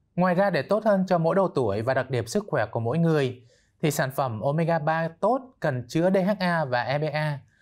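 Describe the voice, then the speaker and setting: Against a quiet background, a man with a fairly high voice talks at a moderate pace with lively intonation. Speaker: doctor; guest. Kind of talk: expert interview. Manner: formal. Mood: calm, explanatory. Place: studio. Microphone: lapel.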